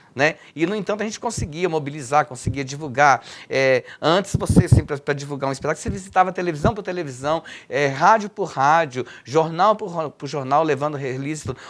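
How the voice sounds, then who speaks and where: A man with an ordinary speaking voice talks at a fairly quick pace, his pitch fairly high with ordinary variation. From Minas Gerais, Brazil. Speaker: poet and cultural activist. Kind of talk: interview answer.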